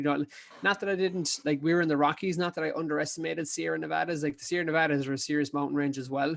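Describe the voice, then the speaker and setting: Flat, monotone speech in an Irish accent sits on a very clean recording with a silent background. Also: man. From Ireland, County Kerry. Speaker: ultra endurance athlete. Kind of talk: casual chat. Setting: podcast interview.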